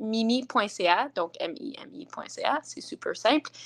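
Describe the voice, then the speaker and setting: High-pitched speech from a woman, set against a quiet background. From northern Ontario, Franco-Ontarian. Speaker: singer-songwriter. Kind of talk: interview. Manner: halting.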